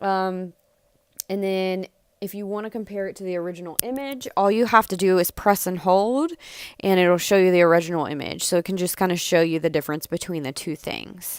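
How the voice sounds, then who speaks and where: In a very clean recording with a silent background, the voice moves at a fairly quick pace with ordinary pitch variation and big swings in loudness. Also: woman, medium pitch for a woman. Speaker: social media business coach. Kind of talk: tutorial. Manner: fast; casual with many fillers.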